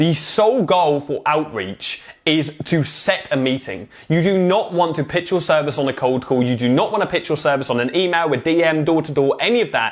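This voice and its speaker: A man talks at a fairly quick pace with hardly any pauses, his pitch fairly high. His tone is animated and his intonation lively. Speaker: online marketing coach. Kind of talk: tutorial. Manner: fast.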